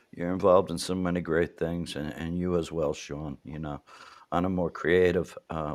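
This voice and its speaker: Here a man speaks with a New York accent at a moderate pace. His pitch is very deep and low. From New York City, Manhattan. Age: 60s. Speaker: interview show host. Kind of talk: casual interview chat.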